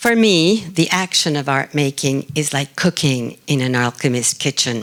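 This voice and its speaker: With lively intonation, a woman speaks in a Spanish accent. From Argentina. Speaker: artist. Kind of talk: conference talk.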